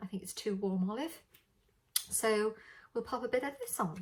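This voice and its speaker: A woman speaks with a British accent. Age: 60s. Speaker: beauty vlogger. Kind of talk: makeup tutorial. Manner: casual, hesitant with many fillers.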